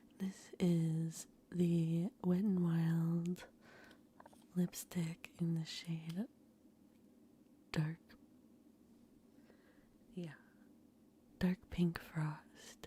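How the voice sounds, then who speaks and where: Soft-spoken and somewhat breathy, a woman with an American accent speaks at a very slow pace in a fairly low pitch and a dark, mellow tone, with monotone, flat intonation and long, frequent pauses. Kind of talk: ASMR makeup collection show-and-tell, casual talk to camera.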